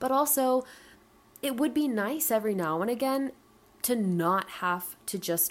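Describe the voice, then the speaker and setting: Here a woman with an American accent talks at a fairly slow pace. Her pitch swings very widely. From US South, Atlanta, Georgia. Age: 20s. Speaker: podcast host. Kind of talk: solo podcast monologue. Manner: casual, unscripted.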